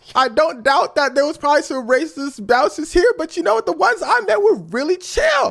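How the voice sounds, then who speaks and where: Speaking in an American accent, a man moves at a fairly quick pace with an animated tone. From United States. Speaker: storyteller. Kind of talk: personal anecdote.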